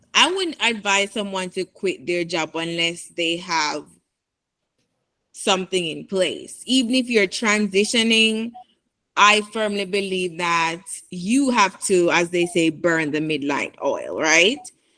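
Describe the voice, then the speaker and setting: On a very clean recording with a silent background, a woman with a bright, sharp tone speaks at a very slow pace, medium pitch and ordinary pitch variation. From Jamaica. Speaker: product manager, guest speaker. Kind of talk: interview answers in a career talk.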